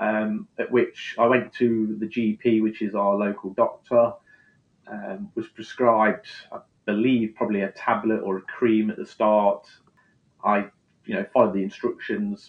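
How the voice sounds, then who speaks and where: Speaking at a fairly slow pace, a man talks in an East Midlands accent. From England, Leicester. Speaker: skincare brand founder. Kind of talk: interview.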